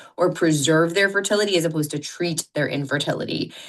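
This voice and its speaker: A loud voice with a bright, sharp tone and ordinary pitch variation. The background is quiet. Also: woman. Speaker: fertility doctor and author. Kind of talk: podcast interview.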